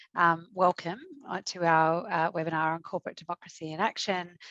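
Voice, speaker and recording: With an Australian accent, a woman talks at a moderate pace in a fairly low pitch against a quiet background. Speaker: executive director of shareholder advocacy non-profit. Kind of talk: webinar presentation. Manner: halting, many fillers.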